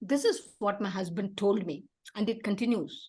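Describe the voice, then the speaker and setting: At a moderate pace, a woman speaks with a Tamil Indian accent. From South India, Tamil. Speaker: theater activist and founder. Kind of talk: interview.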